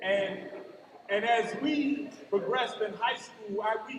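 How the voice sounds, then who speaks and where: Animated and lively in intonation, a voice with an American accent moves at a fairly slow pace amid audible room echo and noticeable background noise. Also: man. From US Midwest, Cleveland, Ohio. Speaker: commencement speaker, college outreach educator. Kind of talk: commencement speech. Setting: graduation ceremony with audience.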